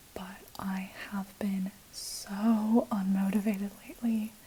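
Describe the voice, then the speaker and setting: A soft-spoken woman is whispering. Noticeable background noise runs underneath. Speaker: ASMR creator. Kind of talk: casual whispered ramble to camera. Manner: soft-spoken, whispered.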